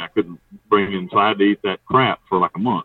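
A man speaks at a very fast pace with an Appalachian accent. His intonation is lively. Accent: Appalachian US Southern. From North Carolina mountains. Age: 40s. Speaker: prison inmate, ex-hitman. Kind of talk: interview.

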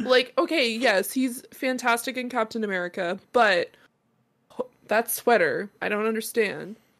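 In an ordinary speaking voice, a woman talks at a fairly slow pace, her fairly high pitch moving with ordinary variation. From Canada. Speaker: podcast host and streamer. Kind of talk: casual chat.

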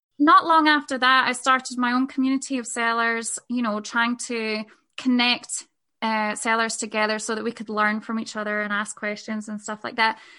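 A woman with a Scottish accent has a fairly high pitch and a bright, sharp tone. Her intonation stays fairly even over a quiet background. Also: moderate pace. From Scotland. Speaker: podcaster and sex work business mentor. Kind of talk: casual interview chat.

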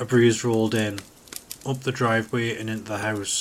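Text delivered as plain reading aloud

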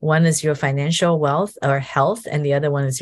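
A somewhat breathy woman's voice at a moderate pace, with ordinary pitch variation, over a quiet background. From Taiwan, moved to US at 14. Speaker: financial advisor. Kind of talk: interview. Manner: many fillers and hesitations.

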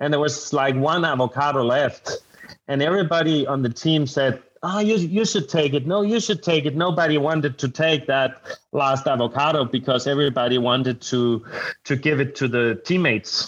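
A man with a Danish accent talks at a fairly high pitch and a very even loudness. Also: ordinary pitch variation, moderate pace. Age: 30s. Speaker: adventure racer. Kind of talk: casual interview chat. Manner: halting, searching for words.

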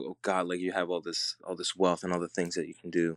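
A man with a Puerto Rican accent speaks with a very deep, low pitch. The sound is dry and close, with no echo. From Puerto Rico. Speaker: filmmaker. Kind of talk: casual chat.

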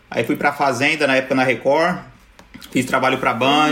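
A man's voice comes with noticeable background noise. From São Paulo, Brazil (Zona Sul). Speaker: YouTuber. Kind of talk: casual chat.

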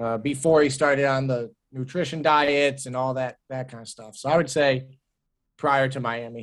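A plain, everyday voice from a man with an American accent, moderate in pace, with fairly even intonation and big swings in loudness. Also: medium pitch for a man. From Cleveland, Ohio. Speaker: sports fan guest. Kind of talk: casual chat.

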